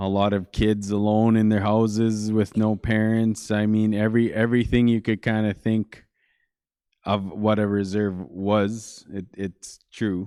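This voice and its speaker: Over a silent background on a very clean recording, the voice has a dark, mellow tone and a monotone, flat intonation. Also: man, fairly low pitch for a man, fairly slow pace. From northern Manitoba, Canada. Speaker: church guest speaker. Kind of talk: interview testimony.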